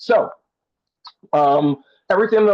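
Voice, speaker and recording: Here is a man with an unremarkable speaking voice, pitched fairly high. He talks at a moderate pace with lively intonation. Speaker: theater director and consultant. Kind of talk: one-on-one consultation. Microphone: earbuds in, connection may cut out.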